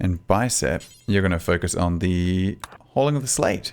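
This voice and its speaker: In an Australian accent, a man with a fairly low pitch speaks in a relaxed tone. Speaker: gaming YouTuber. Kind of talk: gameplay commentary. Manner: casual, relaxed.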